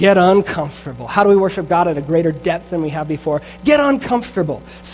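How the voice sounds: The intonation here is lively. It belongs to a natural reading voice.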